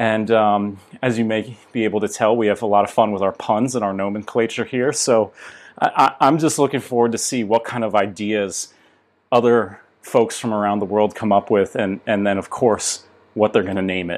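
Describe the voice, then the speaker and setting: With an American accent, a man in a normal speaking voice talks at a moderate pace, his pitch fairly low and his intonation fairly even. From United States. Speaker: tech startup co-founder. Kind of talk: interview.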